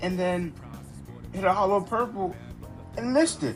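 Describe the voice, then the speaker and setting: With music in the background, a man speaks at a moderate pace in a fairly high pitch. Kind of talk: casual anime commentary.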